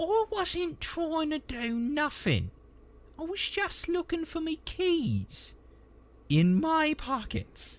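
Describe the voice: This is a put-on character voice with big pitch swings. It moves at a slow pace. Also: man, extremely high pitch for a man.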